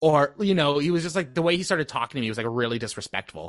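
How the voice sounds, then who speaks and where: A man's fairly high, bright and sharp voice at a very fast pace with lively intonation, over a quiet background in a dry, close sound with no echo. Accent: Canadian. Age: 20s. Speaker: podcast guest. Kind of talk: casual chat.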